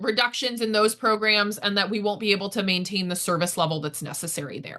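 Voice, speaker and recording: With a bright, sharp tone, a woman speaks at medium pitch with ordinary pitch variation. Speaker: farm advocacy director. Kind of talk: policy update webinar. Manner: fast.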